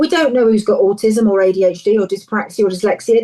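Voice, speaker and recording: The speaker has a dark, mellow tone and an English accent, talking at a very fast pace with ordinary pitch variation. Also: woman. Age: 60s. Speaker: counsellor and charity founder. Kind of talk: interview. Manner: animated.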